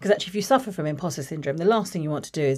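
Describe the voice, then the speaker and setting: A woman with a very deep, low voice, a dark, mellow tone and a southern English accent, in a very clean recording with a silent background. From southern England, Watford. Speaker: creative business executive. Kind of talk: interview conversation.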